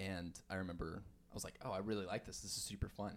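With an American accent, a man talks at a fairly quick pace in a fairly low pitch, an unremarkable speaking voice. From US Southwest, Farmington, New Mexico. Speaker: cafe manager. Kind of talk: casual chat. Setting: closed cafe.

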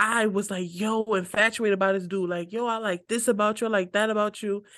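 A woman speaks in an unremarkable speaking voice at medium pitch. Her pace is moderate and the background is quiet. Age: 20s. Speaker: podcast co-host. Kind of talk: casual chat.

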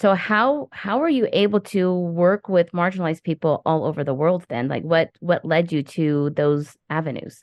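A woman's unremarkable speaking voice, fairly low in pitch, at a moderate pace with lively intonation and hardly any pauses. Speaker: podcast host. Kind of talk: casual interview chat.

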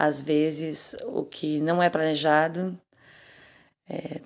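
A woman speaks with very deep, low pitch and fairly even intonation. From southern Brazil, Pelotas, Rio Grande do Sul. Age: 40s. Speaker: singer. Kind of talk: interview.

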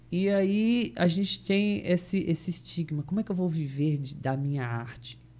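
Talking at a moderate pace with hardly any pauses, a man with a high pitch and a dark, mellow tone uses lively intonation. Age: 30s. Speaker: actor and theatre school owner. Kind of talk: casual chat.

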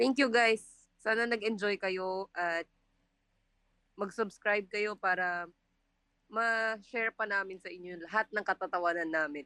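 Speaking at a fairly slow pace with long, frequent pauses, the voice has a bright, sharp tone and ordinary pitch variation, recorded dry and close with no echo against a quiet background. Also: woman, medium pitch for a woman. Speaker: culinary student, podcast co-host. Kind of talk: casual chat.

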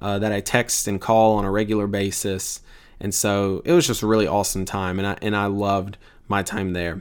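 In a very clean recording with a silent background, a man with a Mississippi accent talks at a fairly quick pace in a fairly low, monotone, flat voice. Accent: Southern US (Mississippi). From US South, Tupelo, Mississippi. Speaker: podcast host, seminary student. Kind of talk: casual podcast introduction. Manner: informal, filler-heavy.

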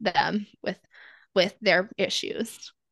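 Bright and sharp in tone, a woman with an American accent speaks at a medium pitch. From US small town. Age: 30s. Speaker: abuse survivor. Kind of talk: personal testimony.

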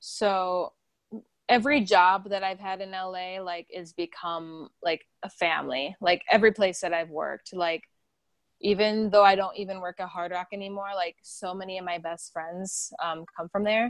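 A woman with a normal speaking voice and an American accent talks at a moderate pace and medium pitch, with big swings in loudness and a dry, close sound with no echo. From South Dakota, US Midwest. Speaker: actress and singer. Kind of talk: interview.

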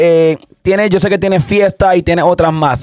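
Moderately paced speech in a Puerto Rican accent, with ordinary pitch variation and a dry, close sound free of echo. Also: man. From Puerto Rico, Santa Isabel. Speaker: podcast host and DJ. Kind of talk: interview.

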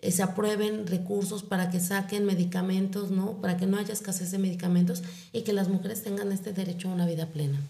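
A woman speaks in a medium pitch with monotone, flat intonation at a moderate pace. Audible room echo surrounds her voice. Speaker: psychologist and breast cancer foundation founder. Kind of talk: interview.

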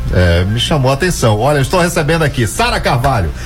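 A man talking at a fairly quick pace with very wide pitch swings, audible room echo and music in the background. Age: 40s. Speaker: radio news host. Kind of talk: radio news show. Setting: radio studio.

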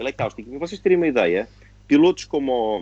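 A man is speaking. His pace is moderate. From Portugal (born in Angola, moved 1974). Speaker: retired racing driver. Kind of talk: casual interview chat.

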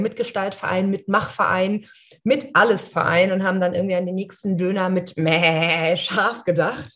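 With an unremarkable speaking voice, a woman of medium pitch talks at a fairly slow pace. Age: 30s. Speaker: coach and podcast co-host. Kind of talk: casual chat.

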